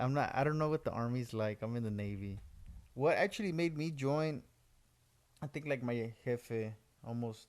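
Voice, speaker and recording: Pitched in the medium range, a man speaks with ordinary pitch variation. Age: 20s. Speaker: Navy sailor. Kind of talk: casual chat. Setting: home recording sharing one mic. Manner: fast.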